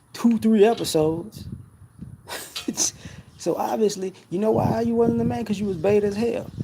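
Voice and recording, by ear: The voice has a dark, mellow tone with vocal fry and a slightly husky edge. It moves at a moderate pace. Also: man.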